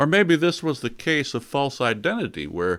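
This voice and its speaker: This recording is very clean with dead-silent surroundings. A man talks at an even, middling speed. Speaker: bible teacher. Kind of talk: bible study teaching. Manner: conversational.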